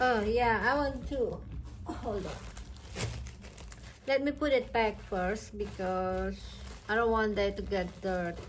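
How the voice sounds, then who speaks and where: With a non-native accent, a woman speaks very slowly amid audible room echo, leaving long, frequent pauses. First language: not English. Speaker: crochet YouTuber. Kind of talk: product review vlog. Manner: halting.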